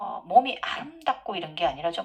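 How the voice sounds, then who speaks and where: A woman is speaking. Her pace is fairly slow. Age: middle-aged. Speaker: yoga teacher and spiritual channel host. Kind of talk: Q&A monologue.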